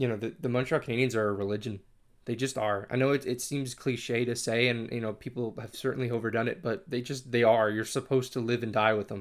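A man with a New England accent talks at a very fast pace and medium pitch, with fairly even intonation. The recording is very clean, with a silent background. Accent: American (New England). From Connecticut, US. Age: 20s. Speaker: podcast host and hockey blogger. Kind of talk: solo monologue podcast. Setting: in front of a microphone, solo recording. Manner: hesitant, many fillers and restarts.

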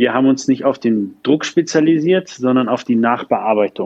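A man talks at a fairly quick pace in a plain, everyday voice. His pitch is medium and his intonation fairly even. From northern Germany, Lübeck. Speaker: startup founder and CEO. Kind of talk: interview.

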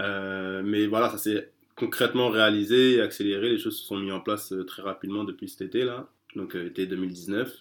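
This man's fairly low voice moves at a moderate pace with fairly even intonation. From France. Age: 30s. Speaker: street bookseller. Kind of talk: interview. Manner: halting.

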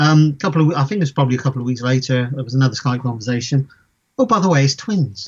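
Somewhat breathy and very fast, a man speaks at medium pitch with ordinary pitch variation. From Bristol, England. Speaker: technical director. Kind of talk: interview. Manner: hesitant, many fillers.

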